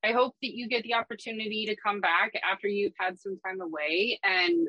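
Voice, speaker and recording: This woman talks at a very fast pace with lively intonation and a medium pitch. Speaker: podcast host. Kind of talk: casual chat.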